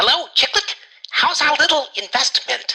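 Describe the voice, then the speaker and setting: A squeaky, put-on character voice moves along at a moderate pace. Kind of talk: 1940s radio acting. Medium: audio drama.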